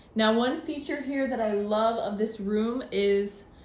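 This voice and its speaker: Amid audible room echo, a woman with a fairly high voice speaks fairly slowly with ordinary pitch variation. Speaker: travel vlogger. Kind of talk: room tour vlog. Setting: hotel room at night. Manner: whispering; casual.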